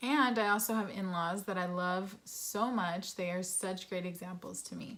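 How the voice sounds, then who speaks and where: A woman with a Western US accent, medium in pitch, at a fairly slow pace. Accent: American, western US. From Utah, US (from age ten; early years Southern California). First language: Spanish. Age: 20s. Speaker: vlogger. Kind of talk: casual Q&A vlog.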